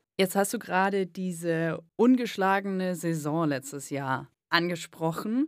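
This woman has a plain, everyday voice, fairly low in pitch, with ordinary pitch variation and a fairly slow pace. The recording is very clean, with a silent background. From Swabia, southern Germany. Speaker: radio host. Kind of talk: podcast interview.

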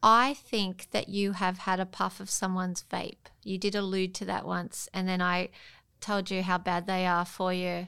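A woman's medium-pitched, bright, sharp voice at a moderate pace, monotone and flat, in a very clean recording with a silent background. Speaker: mother and high school teacher. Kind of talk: casual chat. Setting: studio.

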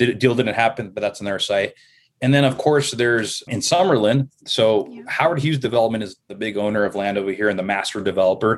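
With an American accent and a plain, everyday voice, a man speaks at a fairly quick pace and medium pitch, with ordinary pitch variation, against a quiet background. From Los Angeles, Southern California. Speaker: podcast guest, real estate and sports writer. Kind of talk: casual interview conversation.

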